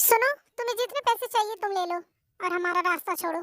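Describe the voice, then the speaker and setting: A woman performs a squeaky put-on character voice at an extremely high pitch. The sound is dry and close with no echo, and the pace is moderate. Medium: fan dub. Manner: cold, haughty.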